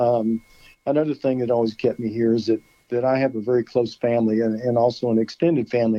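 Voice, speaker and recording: With an American accent, a man with a plain, everyday voice speaks at a fairly quick pace, medium in pitch and fairly even in intonation. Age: 60s. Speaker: high school football coach. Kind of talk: phone interview. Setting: phone call.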